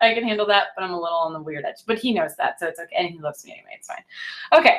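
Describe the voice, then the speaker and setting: A woman talks at a very fast pace, her pitch swinging very widely. Her loudness rises and falls in big swings. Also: medium pitch for a woman. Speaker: sales director and team leader. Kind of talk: motivational training talk. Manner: animated.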